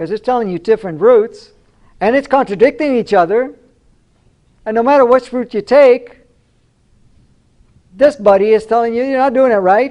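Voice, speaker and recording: This man has an extremely high pitch and an animated tone, with ordinary pitch variation. He talks at a fairly quick pace but leaves long, frequent pauses. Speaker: spiritual speaker. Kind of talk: lecture.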